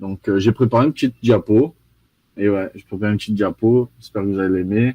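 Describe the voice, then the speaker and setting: A man talks very fast with a slight Brazilian accent, his pitch fairly low and his intonation fairly even. His loudness swings a lot. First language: Portuguese (speaking French). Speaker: carbon offset expert. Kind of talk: live presentation. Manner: mumbles words.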